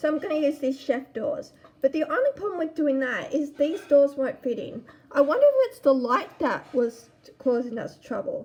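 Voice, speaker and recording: This woman's voice sits high, with lively intonation and big swings in loudness. She talks at a moderate pace. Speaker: gaming YouTuber. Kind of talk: gameplay commentary. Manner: casual.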